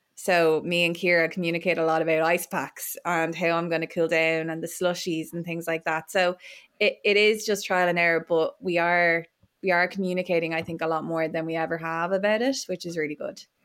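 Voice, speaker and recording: A woman with an Irish accent speaks at a fairly quick pace and a fairly low pitch. Her intonation is monotone and flat, on a very clean recording with a silent background. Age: 20s. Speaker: Paralympic swimmer. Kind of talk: casual chat.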